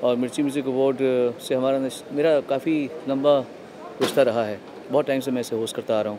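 A man talks at a moderate speed, his intonation fairly even, with noticeable background noise behind him. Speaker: awards show host. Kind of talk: interview answer. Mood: somber, reflective. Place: hall. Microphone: handheld.

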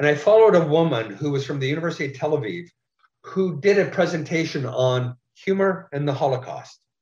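A man speaks at a fairly quick pace in a fairly high, somewhat breathy voice with ordinary pitch variation. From Curve Lake First Nation, Ontario, Canada. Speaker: playwright and writer. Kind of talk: talk to an audience. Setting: remote talk, video. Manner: halting.

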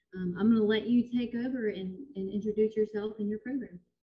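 Somewhat breathy, this voice keeps a fairly even intonation. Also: woman. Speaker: library director. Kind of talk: formal introduction and Q&A moderation. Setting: video call. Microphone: video call.

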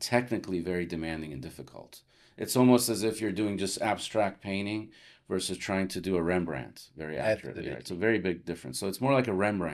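A man with an American accent, very deep and low in pitch with ordinary variation, talking very fast over a quiet background. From Los Angeles, California, US. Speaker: plastic surgeon; podcast guest. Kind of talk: interview conversation. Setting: studio at a conference. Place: home room. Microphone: studio mic.

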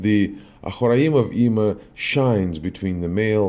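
The man's voice has a dark, mellow tone. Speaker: spiritual teacher. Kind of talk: lecture. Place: home room.

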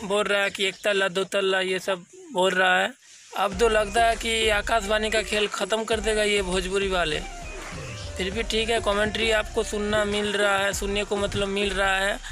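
This man's voice is raised and projected, high in pitch for a man. The sound is dry with no echo, over light background noise. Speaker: YouTuber doing funny dubbing and trolling. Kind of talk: casual talk to camera, comedic reaction. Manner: casual, conversational, humorous. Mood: amused, joking. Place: open country. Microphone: phone near.

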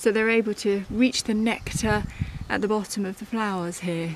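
The woman keeps her intonation fairly even at a moderate pace. The sound is dry with no echo, though noticeable background noise is present. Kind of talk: casual educational talk. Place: garden. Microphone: phone near.

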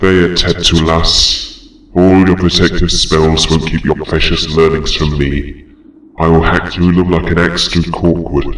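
A man uses a put-on character voice with a very deep, low pitch and monotone, flat intonation. He moves at a fairly slow pace, with a slight echo. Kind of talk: audiobook trailer reading.

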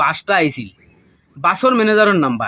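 A man speaks with a Sylheti accent. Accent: Sylheti-accented Bengali. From Bangladesh, Sylhet region (Moulvibazar, Juri). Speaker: migrant worker, robbery victim. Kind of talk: testimony. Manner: halting.

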